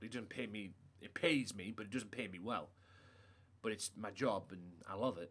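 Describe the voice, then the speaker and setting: A man with a British accent talks at a moderate pace in a bright, sharp tone. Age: 30s. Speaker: gaming livestreamer. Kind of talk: casual chat. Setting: live stream.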